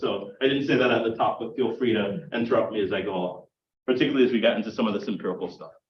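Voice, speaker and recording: A man with an American accent and very wide pitch swings, audible room echo around him. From US South, South Carolina. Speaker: political science professor. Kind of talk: lecture. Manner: conversational, frequent fillers and repeats.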